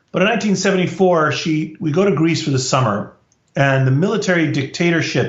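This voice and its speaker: A man with an American accent speaks at a moderate pace, sounding somewhat breathy. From US, Washington DC. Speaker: professor. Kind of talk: interview storytelling.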